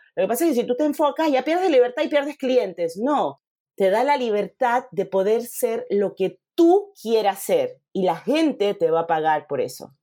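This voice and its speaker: A fairly high-pitched woman with very wide pitch swings at a moderate pace, music in the background. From Panama. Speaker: photographer and mentor. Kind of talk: interview conversation.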